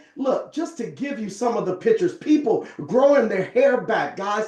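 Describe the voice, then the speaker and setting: Over noticeable background noise, a man with an extremely high pitch talks in an animated tone with very wide pitch swings. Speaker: network marketing presenter. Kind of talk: sales pitch.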